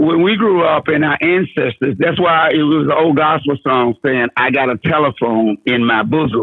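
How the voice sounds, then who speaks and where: A man at a moderate pace with hardly any pauses, ordinary pitch variation and very even loudness. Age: 60s. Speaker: caller. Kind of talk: casual chat. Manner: halting.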